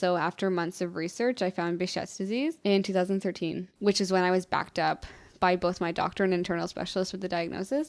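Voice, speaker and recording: A woman with a Canadian accent speaks very fast, her intonation fairly even. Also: medium pitch for a woman, hardly any pauses, very clean recording, silent background. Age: 20s. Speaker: patient sharing illness story. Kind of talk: interview testimony. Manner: casual, conversational.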